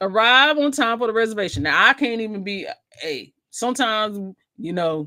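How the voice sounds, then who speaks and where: The voice is loud and animated, with lively intonation. It moves at a moderate pace. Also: woman, fairly high pitch for a woman. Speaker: cruise vlogger and travel agent. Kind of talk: livestream chat reading comments.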